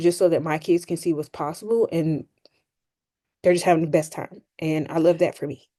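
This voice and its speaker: A woman puts on a raspy character voice, fairly low in pitch, with fairly even intonation. She goes at a moderate pace over a quiet background. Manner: heartfelt.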